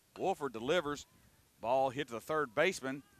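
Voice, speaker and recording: The speaker has a Southern US accent and a moderate pace. The sound is dry with no echo. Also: man. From Tennessee. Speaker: baseball play-by-play announcer; radio play-by-play announcer. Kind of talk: live commentary. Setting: outdoors.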